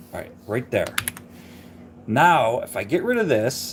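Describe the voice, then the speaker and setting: A man mumbles at a moderate pace with very wide pitch swings. Noticeable background noise is present. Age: 50s. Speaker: car hobby YouTuber editing videos. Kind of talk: casual live-stream editing tutorial. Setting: live stream at home. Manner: mumbling; casual, self-deprecating chatter.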